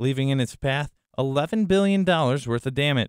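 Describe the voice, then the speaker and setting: A man speaks in an ordinary speaking voice with a fairly high pitch. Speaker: student meteorology reporter. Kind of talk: news report narration.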